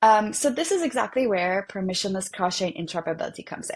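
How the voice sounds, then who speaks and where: A woman talks at a very fast pace with a non-native accent. The background is quiet. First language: not English. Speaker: developer relations at a blockchain protocol. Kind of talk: technical explainer in a web interview. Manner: many fillers and false starts.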